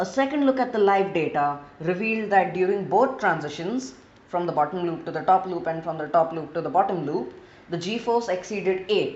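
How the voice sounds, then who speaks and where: Noticeable background noise and audible room echo accompany a woman with an Indian accent, who talks at a fairly quick pace with medium pitch and lively intonation. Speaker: gaming video creator. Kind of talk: gameplay narration.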